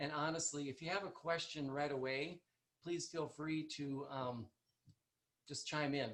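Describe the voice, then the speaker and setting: With an Upper Midwest accent, a man talks at a fairly slow pace with long, frequent pauses. His voice is fairly high with fairly even intonation. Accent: Upper Midwest American. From North Dakota, US. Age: 60s. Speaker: chiropractor. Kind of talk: presentation. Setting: video call. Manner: soft-spoken. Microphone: quiet, far from computer mic.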